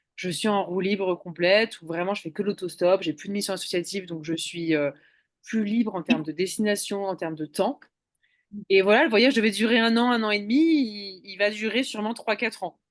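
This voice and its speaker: An unremarkable speaking voice from a woman, medium in pitch, with ordinary pitch variation at a fairly quick pace. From eastern France, Ain (between Lyon and Geneva). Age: 30s. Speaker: hitchhiking world traveller. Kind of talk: interview.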